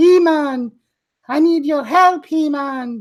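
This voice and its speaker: A soft-spoken, put-on character voice, high-pitched and very slow. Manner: pleading, damsel-like.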